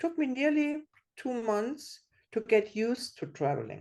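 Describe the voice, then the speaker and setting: Over a quiet background, a woman with a non-native accent speaks in a high voice with lively intonation. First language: not English. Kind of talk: workshop share. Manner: halting.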